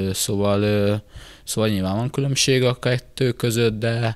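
A man speaks fairly slowly at a fairly low pitch. His intonation stays flat and monotone. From Hungary. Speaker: football player, club captain. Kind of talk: casual interview. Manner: halting, many filler words. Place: hall. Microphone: handheld.

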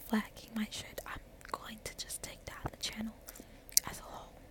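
Fairly slow whispering from a woman. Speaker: ASMR content creator. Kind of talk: casual talk to camera. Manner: whispered. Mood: frank, sometimes upset. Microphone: phone near.

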